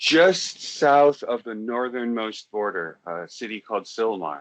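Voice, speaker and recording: A man with an American accent talks at a very slow pace. His medium pitch carries lively intonation. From US West Coast, Los Angeles area. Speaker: online talk show host. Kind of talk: casual chat.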